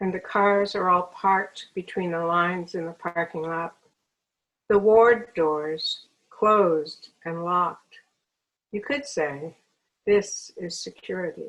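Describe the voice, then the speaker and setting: At a very slow pace, a woman speaks with long, frequent pauses, a medium pitch and ordinary pitch variation. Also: big swings in loudness. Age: 70s. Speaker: poet. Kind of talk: poetry reading.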